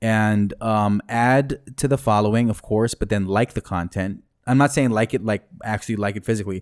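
In a very clean recording with a silent background, a man talks with an American accent. His pitch is fairly low, his pace moderate, and he hardly pauses at all. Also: dry, close sound with no echo. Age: 30s. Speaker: rapper and MC. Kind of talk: casual chat. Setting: studio. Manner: animated.

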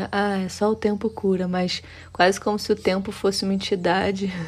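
Her intonation is monotone and flat. A woman talks at a medium pitch. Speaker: podcast co-host. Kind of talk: casual conversation.

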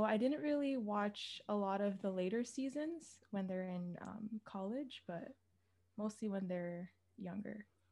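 Speaking in a normal speaking voice with a Canadian accent, a woman keeps a medium pitch, a moderate pace and ordinary pitch variation. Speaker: podcast host. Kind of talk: casual chat.

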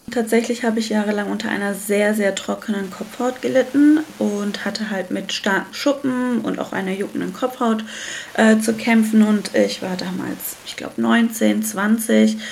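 Noticeable background noise behind a moderate pace and fairly even intonation. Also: woman. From Germany. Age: 30s. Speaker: entrepreneur, founder of a hair care brand. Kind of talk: casual interview.

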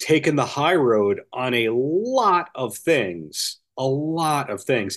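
In a quiet background, a man speaks with an American accent at a very slow pace. His pitch is fairly high. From Long Island, New York. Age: 40s. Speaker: author. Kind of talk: interview.

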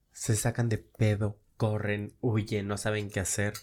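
A man with a Mexican accent speaks in a fairly low pitch on a very clean recording with a silent background. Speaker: social media influencer. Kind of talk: casual chat.

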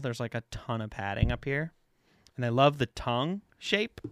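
A plain, everyday voice moves at a moderate pace with ordinary pitch variation, captured as a dry, close sound with no echo on a very clean recording with a silent background. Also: man. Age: 30s. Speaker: podcast co-host. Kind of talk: casual chat. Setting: studio.

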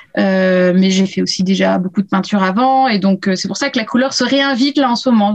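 A woman talks at a fairly quick pace. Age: 30s. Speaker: illustrator. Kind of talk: casual interview. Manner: hesitant, many fillers.

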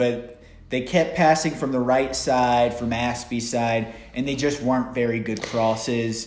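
A man speaks at a medium pitch with an American accent and fairly even intonation. Room echo is audible. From United States. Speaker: football podcast host. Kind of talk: casual chat.

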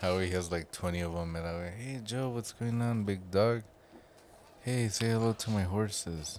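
An ordinary speaking voice from a man, fairly low in pitch, at a moderate pace with ordinary pitch variation. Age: 30s. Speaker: podcast co-host. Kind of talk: casual chat.

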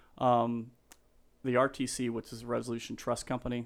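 A man speaks with an American accent at a moderate pace. His voice sits at a medium pitch. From Colorado. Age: 50s. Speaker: real estate agent. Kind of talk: casual chat. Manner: animated.

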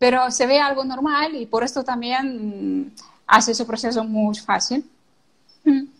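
Speaking fairly slowly, a woman uses a high pitch and fairly even intonation. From Ukraine. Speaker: social media consultant. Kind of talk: interview.

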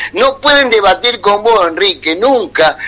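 There is noticeable background noise behind a man. His voice is high in pitch, with lively intonation. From Buenos Aires province, Argentina. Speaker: war veteran. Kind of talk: radio call-in conversation.

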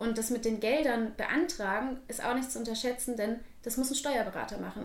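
High-pitched female speech at a fairly quick pace, with ordinary pitch variation and audible room echo. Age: 20s. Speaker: dance studio owner. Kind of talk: interview.

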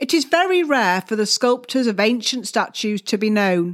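This woman has a normal speaking voice, fairly high in pitch, at a moderate pace. The recording is very clean, with a silent background. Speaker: art historian and podcast tour guide. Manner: measured, clear explanatory delivery, pausing to direct listener to the next hall; polite, gently instructive, addresses listener directly.

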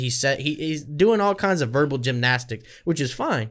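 In an American accent, a man with an ordinary speaking voice talks at a moderate pace, fairly high in pitch with lively intonation, on a very clean recording with a silent background. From Kentucky, US. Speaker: podcast host. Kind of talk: casual interview chat. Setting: video recording in studio.

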